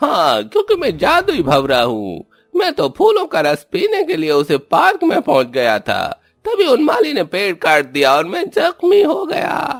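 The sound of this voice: Using a cartoonish character voice, a man speaks at an extremely high pitch and a moderate pace with hardly any pauses.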